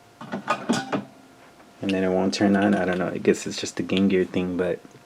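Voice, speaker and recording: A man's very deep, low voice, monotone and flat, at a fairly slow pace amid noticeable background noise. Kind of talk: casual talk to camera. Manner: soft-spoken, calm.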